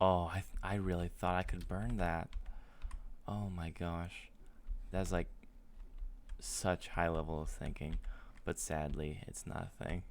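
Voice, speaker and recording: The speaker moves at a fairly slow pace with long, frequent pauses. Intonation is fairly even. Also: man, very deep, low pitch for a man. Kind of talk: casual gaming talk. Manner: calm, loving.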